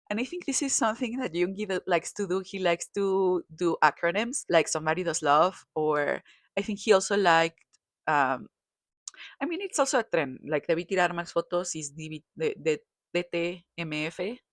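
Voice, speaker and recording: The woman's voice is fairly low, in a Spanish accent, with a dry, close sound and no echo. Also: ordinary pitch variation, moderate pace, very clean recording, silent background. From Mexico. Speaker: kpop commentator. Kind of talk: casual commentary. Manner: halting, self-correcting.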